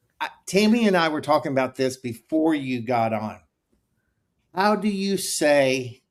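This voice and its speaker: The voice has a Texas accent and lively intonation. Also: man. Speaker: podcast host. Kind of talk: casual interview chat.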